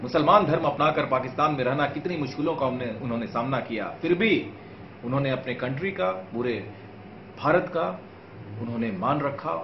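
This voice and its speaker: A man with a fairly high-pitched voice talks at a fairly slow pace. There is audible room echo and light background noise. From Bihar, India. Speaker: actor. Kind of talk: casual talk to camera promoting a film. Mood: earnest, passionate. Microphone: lapel.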